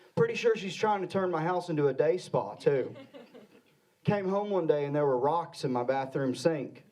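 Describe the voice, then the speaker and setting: A man with an American accent speaks at a moderate pace, high-pitched and with lively intonation. Noticeable background noise and audible room echo fill the recording. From Arkansas. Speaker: comedian. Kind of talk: stand-up. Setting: stage with audience.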